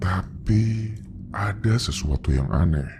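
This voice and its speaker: Using a put-on character voice, a man speaks at a very deep, low pitch over clear background noise. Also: fairly slow pace. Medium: read story. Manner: grave, measured.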